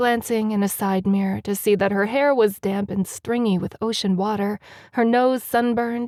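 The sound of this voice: Delivery comes in an unforced reading voice with fairly even intonation.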